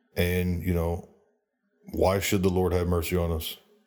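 A man's very deep, low voice, dark and mellow in tone, at a moderate pace in a very clean recording with a silent background. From United States. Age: 30s. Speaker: solo podcaster. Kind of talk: monologue. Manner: halting; passionate.

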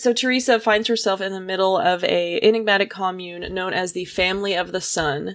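In a very clean recording with a silent background, a woman with a normal speaking voice talks at a moderate pace, medium pitch and ordinary pitch variation. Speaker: podcast co-host. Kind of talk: casual chat.

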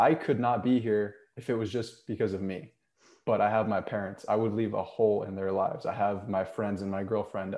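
Speaking fairly quickly, a man with a plain, everyday voice keeps his fairly low pitch on fairly even intonation. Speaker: podcast host, author, health coach. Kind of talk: interview with scripted intro.

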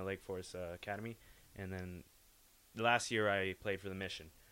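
On a very clean recording with a silent background, a man with an American accent speaks at a very deep, low pitch with fairly even intonation. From California, Bay Area. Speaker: junior hockey player. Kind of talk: casual interview.

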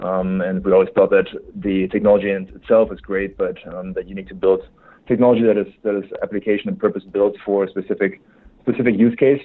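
With a German accent, the speaker talks at a very fast pace with fairly even intonation. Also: man, fairly low pitch for a man. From Germany. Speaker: tech startup founder. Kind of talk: interview. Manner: halting, many filler words.

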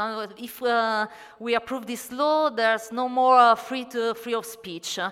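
A woman's high-pitched voice with an Italian accent, at a fairly slow pace, over noticeable background noise. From Italy. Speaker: astronomer and writer. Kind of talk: panel talk at a convention. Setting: convention stage panel. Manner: hesitant, non-native English.

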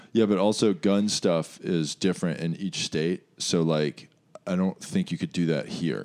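A man's very deep, low voice with an American accent, ordinary pitch variation and a fairly slow pace. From US, West Virginia. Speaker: comedian. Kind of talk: casual chat. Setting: studio.

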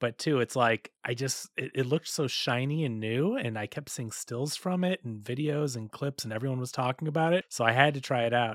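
A man with an ordinary speaking voice talks at a fairly quick pace and a medium pitch, with hardly any pauses. His ordinary pitch variation comes through in a dry, close sound with no echo. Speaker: video game podcast co-host. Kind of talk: casual chat.

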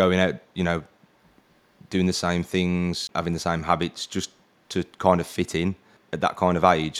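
A man with an English accent and a very deep, low pitch comes through on a very clean recording with a silent background. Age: 30s. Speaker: podcast host. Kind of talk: casual interview chat.

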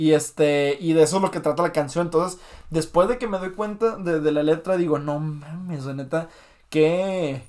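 A man with a Mexican accent talks at a moderate pace in a high pitch, with ordinary pitch variation. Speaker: podcast host. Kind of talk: casual chat. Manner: halting.

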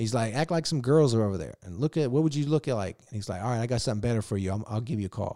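Speaking with an American accent, a man races along at a very fast pace with hardly any pauses, his medium-pitched, dark, mellow voice full of lively intonation on a very clean recording with a silent background. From Virginia. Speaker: actor and filmmaker. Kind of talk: casual chat. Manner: animated.

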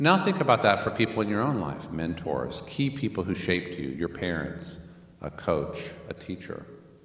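Speaking at a moderate pace with an American accent, a man with a very deep, low voice makes very wide pitch swings, with audible room echo and noticeable background noise. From Northern Virginia, US. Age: 50s. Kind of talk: church teaching session. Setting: church, livestreamed. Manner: hesitant, many fillers.

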